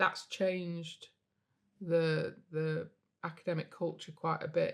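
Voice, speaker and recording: With a northern English accent, a woman speaks at a very slow pace in a monotone, flat intonation at a fairly low pitch. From northern England, Derbyshire (Chesterfield). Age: 60s. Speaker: physics professor and university innovation leader. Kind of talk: podcast interview. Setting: on location interview set. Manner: hesitant, many fillers and repetitions.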